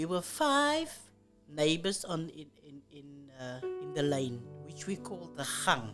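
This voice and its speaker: Over music in the background, a woman speaks very slowly with big swings in loudness. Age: 80s+. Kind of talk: oral history interview answer.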